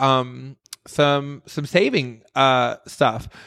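A man with an American accent. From US Midwest. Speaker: podcast host. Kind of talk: casual interview. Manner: animated.

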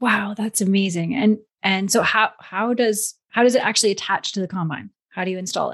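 With fairly even intonation, an unremarkable speaking voice talks at a fairly quick pace. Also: woman, medium pitch for a woman. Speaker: podcast host. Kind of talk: interview.

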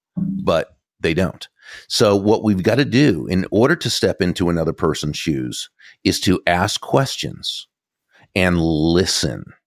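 In a very clean recording with a silent background and a dry, close sound with no echo, a man with an American accent speaks at a fairly slow pace, his very deep, low voice carrying vocal fry and lively intonation. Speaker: author and speaker on influence. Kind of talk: interview. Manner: clear.

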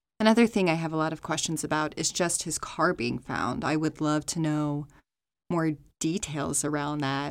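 On a very clean recording with a silent background, a woman speaks at a moderate pace in a very deep, low voice. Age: 30s. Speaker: true crime podcast host. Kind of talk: scripted narration.

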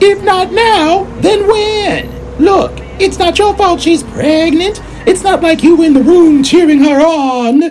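A woman's extremely high voice at a fairly slow pace. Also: ordinary pitch variation. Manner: sassy, blunt, streetwise.

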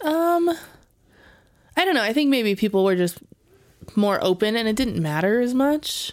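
A woman with an American accent, fairly high pitch and very wide pitch swings, very even loudness, a moderate pace and long, frequent pauses. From Las Vegas, Nevada. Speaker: podcast co-host. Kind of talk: casual chat.

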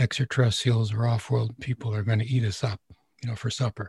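Recorded with a dry, close sound and no echo, a man speaks at medium pitch in a somewhat breathy voice with a dark, mellow tone and fairly even intonation. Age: 70s. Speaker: spiritual teacher and radio host. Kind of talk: casual interview answering questions. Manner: conversational, rambling.

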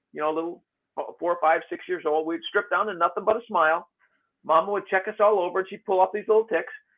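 Here a man's voice rides high. He rattles along at a very fast pace. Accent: American. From Michigan, US. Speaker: tick specialist. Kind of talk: interview. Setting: call.

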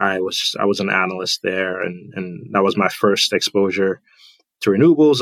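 A very clean recording with a silent background, a fairly quick pace, and an ordinary speaking voice. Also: man, dry, close sound with no echo. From Trinidad and Tobago, then US from age 9 or 10. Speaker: renewable energy finance director. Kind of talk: casual interview.

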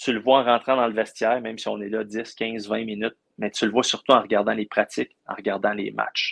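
With vocal fry and a monotone, flat intonation, a medium-pitched man talks at a fairly quick pace in a dry, close sound with no echo. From Quebec, Abitibi region. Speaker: sports journalist covering hockey. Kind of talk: casual interview chat.

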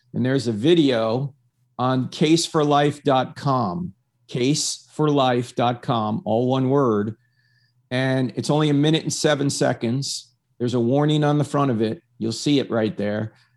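Here is a man with an ordinary speaking voice, medium pitch and ordinary pitch variation. He goes at a fairly slow pace against a quiet background. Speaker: apologist guest. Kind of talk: Q and A discussion. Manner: articulate, confident.

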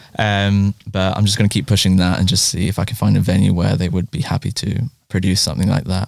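Very fast and dry, a man's fairly low voice carries vocal fry and ordinary pitch variation, the sound close with no echo. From Japan. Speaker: movement artist and theatre director. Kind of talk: interview conversation.

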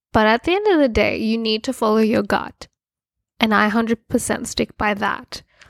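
A woman's fairly high voice at a moderate pace, in a very clean, dry recording with no echo and a silent background. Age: 20s. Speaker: podcast co-host. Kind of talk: casual chat. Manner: animated.

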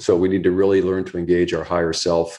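A man with an American accent speaks at a very deep, low pitch in a dark, mellow tone. The background is quiet. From US East Coast. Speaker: author and pickleball coach. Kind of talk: interview.

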